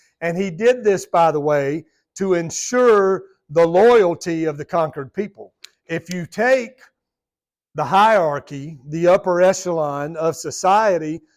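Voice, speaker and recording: On a very clean recording with a silent background, a man with a Southern US accent speaks fairly slowly at a high pitch with ordinary pitch variation. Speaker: Bible study teacher. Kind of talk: Bible study lesson. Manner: conversational.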